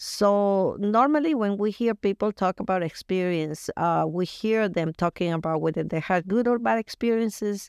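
With a Colombian accent, a woman talks at a moderate pace and medium pitch with ordinary pitch variation and hardly any pauses, in a dry, close sound with no echo over a quiet background. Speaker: youth group leader. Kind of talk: casual interview chat.

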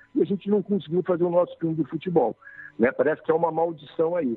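The voice belongs to a man with a high pitch. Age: 50s. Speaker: film director. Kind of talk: interview. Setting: phone call.

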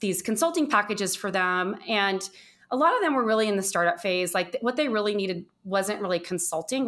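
Hers is a normal speaking voice at medium pitch, with ordinary pitch variation. The woman moves at a fairly quick pace. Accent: American. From US West Coast, Southern California. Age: 50s. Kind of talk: interview.

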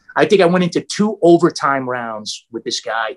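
Against a quiet background and in a dry, close sound with no echo, a high-pitched man with an American accent talks with lively intonation. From New York area. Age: 50s. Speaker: martial artist. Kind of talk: casual chat.

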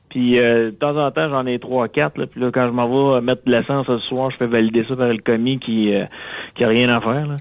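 A man's ordinary speaking voice at a medium pitch, moving at a fairly quick pace. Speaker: radio contributor. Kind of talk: casual chat. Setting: phone call.

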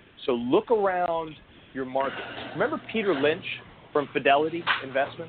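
Noticeable background noise sits under a man speaking at a moderate pace with long, frequent pauses. His pitch is fairly high, with ordinary variation. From New Jersey (born in Greece, moved at five). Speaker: franchise consultant and author. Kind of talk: interview.

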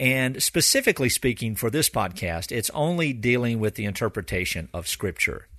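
A man speaks at a medium pitch with lively intonation and a bright, sharp tone. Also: quiet background. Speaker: pastor hosting a Bible teaching podcast. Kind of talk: teaching lecture. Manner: fast, continuous with few pauses.

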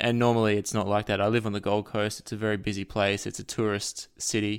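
A man with an Australian accent talks at a fairly quick pace in a fairly low pitch, keeping his intonation fairly even. The recording is very clean with a silent background. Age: 30s. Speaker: author and music researcher. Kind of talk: casual chat.

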